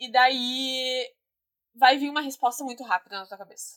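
A woman's voice at a high pitch. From southern Brazil, Guaíba (Rio Grande do Sul). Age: 20s. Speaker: photographer and podcast guest. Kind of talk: casual chat. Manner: laughs often; animated.

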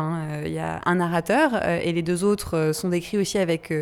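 A woman speaks at a fairly low pitch with ordinary variation. The recording is very clean, with a silent background. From Brittany, France. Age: 30s. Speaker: podcast host, founder of a women's empowerment association. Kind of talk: casual conversation / interview. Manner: halting, many hesitations and repetitions.

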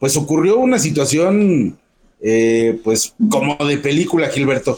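A man's fairly high, dark, mellow voice with lively intonation at a fairly slow pace. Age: old. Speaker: radio news host. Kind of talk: casual news chat.

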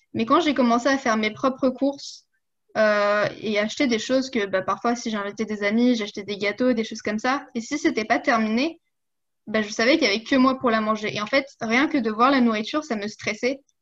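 Here a woman speaks at a fairly quick pace with a fairly high pitch and ordinary pitch variation. The background is quiet. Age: 20s. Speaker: coaching client and fitness influencer. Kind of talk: casual interview. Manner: hesitant, many fillers.

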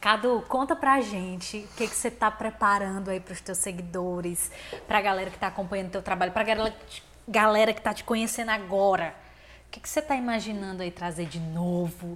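Animated and at a fairly quick pace, a woman speaks at medium pitch with ordinary pitch variation and big swings in loudness. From Fortaleza, Ceará, Brazil. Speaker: podcast host. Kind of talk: interview. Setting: studio.

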